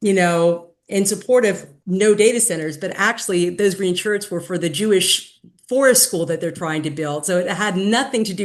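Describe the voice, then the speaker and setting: Ordinary pitch variation and a moderate pace in an unremarkable speaking voice. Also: woman. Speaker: activist. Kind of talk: meeting presentation and discussion. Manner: casual, filler-heavy.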